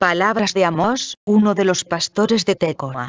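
A woman's medium-pitched voice, solemn in tone, at a very slow pace with ordinary pitch variation. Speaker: scripture reader. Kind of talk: scripture reading aloud. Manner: formal, solemn, measured; steady, even-paced.

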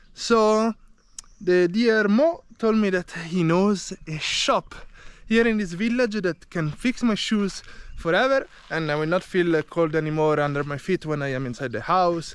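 A man's high-pitched voice with lively intonation, a fairly slow pace and a dry sound with no echo. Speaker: travel vlogger. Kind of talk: casual vlog chat. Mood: cheerful, laughing. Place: open country. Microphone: phone near.

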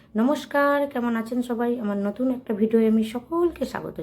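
Here a woman speaks in a fairly high voice. Her tone is dark and mellow. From West Bengal, Hooghly district village. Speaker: vlogger. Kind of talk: personal vlog monologue.

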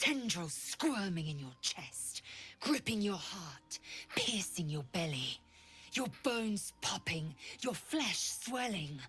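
Music plays in the background as a woman speaks at a medium pitch and a fairly slow pace. Her pitch swings very widely. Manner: grim, intense, threatening.

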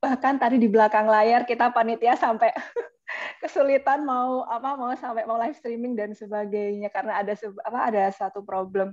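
A woman at a fairly high pitch and a fairly quick pace, set against a quiet background. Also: ordinary pitch variation. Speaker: student webinar organizer; webinar moderator. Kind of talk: formal closing remarks; moderator closing remarks. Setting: video call. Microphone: video call.

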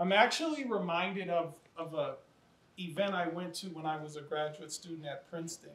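A man speaks in an American accent. Audible room echo is present. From US Midwest. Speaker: education nonprofit leader, formerly incarcerated; panelist. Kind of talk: panel discussion. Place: classroom.

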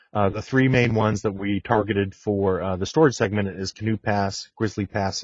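A man with a fairly low pitch talks at a moderate speed in an ordinary speaking voice. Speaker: technical marketing engineer. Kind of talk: technical webinar presentation. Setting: video call.

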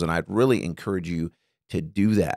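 A man with lively intonation speaks at a moderate pace against a quiet background. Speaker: bible study teacher. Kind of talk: tutorial. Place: studio. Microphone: studio mic.

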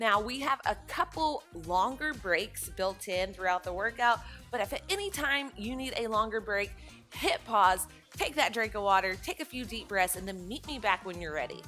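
Faint music plays in the background. A woman talks over it at a moderate pace. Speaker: fitness instructor. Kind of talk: workout instruction. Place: empty room.

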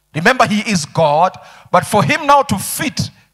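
The man's tone is bright and sharp, his pace moderate, and the background quiet. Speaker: pastor. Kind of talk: sermon. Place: church. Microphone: handheld.

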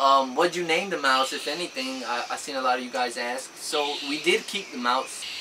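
Lively intonation moves at a moderate pace over noticeable background noise. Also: man. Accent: American. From Georgia, US. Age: 20s. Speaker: YouTuber. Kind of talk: casual Q&A chat. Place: home room. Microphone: camera far.

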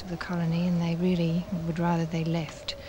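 Speech comes at a fairly quick pace. The sound is dry with no echo, with light background noise. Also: woman. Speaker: historian, interviewee; interviewee. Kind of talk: interview, explanatory. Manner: thoughtful, hesitant, repeats words. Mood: calm, thoughtful.

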